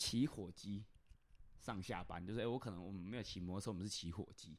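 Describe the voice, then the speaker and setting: Very fast speech from a male speaker, captured in a very clean recording against a silent background. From Chiayi, Taiwan. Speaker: podcast host. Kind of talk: casual chat.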